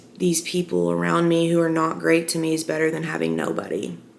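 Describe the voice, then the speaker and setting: Noticeable background noise behind a woman with an American accent, at a moderate pace. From Arkansas, US South. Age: 20s. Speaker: vlogger. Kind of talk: casual personal chat to camera. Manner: loud.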